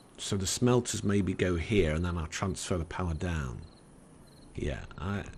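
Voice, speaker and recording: A man in a northern English accent. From northern England. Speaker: gaming YouTuber. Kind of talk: let's play commentary. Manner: halting.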